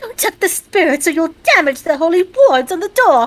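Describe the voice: In a put-on character voice pitched extremely high, a woman speaks at a moderate pace.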